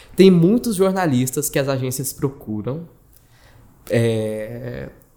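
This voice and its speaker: A man with a dark, mellow tone speaks at a fairly slow pace with lively intonation. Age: 20s. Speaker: journalist and digital marketing manager. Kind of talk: casual chat.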